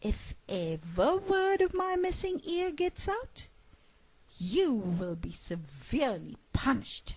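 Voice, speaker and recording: High-pitched put-on character voice from a woman, with very wide pitch swings and a fairly slow pace. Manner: menacing.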